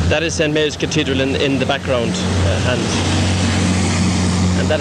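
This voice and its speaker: Loud background noise behind a man's dry voice, without any echo. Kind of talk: casual home video commentary. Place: street. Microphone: old recording.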